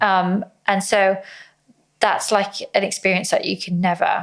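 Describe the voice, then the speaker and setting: Long, frequent pauses from a woman at medium pitch, fairly slow, with monotone, flat intonation. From South West England. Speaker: professional fighter. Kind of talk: podcast interview.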